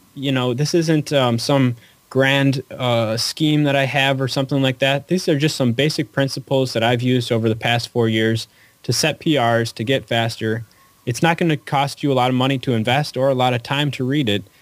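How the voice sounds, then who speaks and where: An unremarkable speaking voice from a man, medium in pitch, fairly even in intonation, very even in loudness, at a moderate pace. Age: 30s. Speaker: running author. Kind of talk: casual interview. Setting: phone call.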